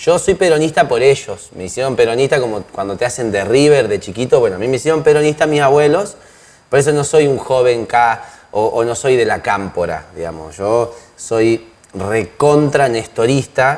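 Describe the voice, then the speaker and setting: A man with an ordinary speaking voice and medium pitch talks at a moderate pace with lively intonation. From Argentina, northern Neuquén. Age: 30s. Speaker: lawyer and political candidate. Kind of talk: interview.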